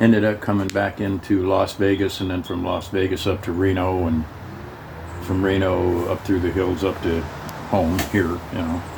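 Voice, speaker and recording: A man speaks at a moderate pace in a very deep, low voice. His intonation is flat and monotone, and there is noticeable background noise. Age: 80s+. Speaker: Navy veteran. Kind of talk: casual storytelling conversation.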